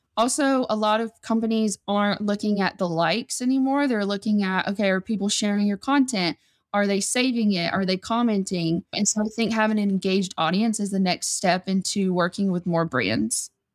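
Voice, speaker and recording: A woman with a Southern US accent talks at a fairly quick pace in a medium pitch, with ordinary pitch variation and very even loudness, recorded very cleanly against a silent background with a dry, close sound and no echo. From US South, Georgia. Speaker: influencer manager. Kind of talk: casual interview chat.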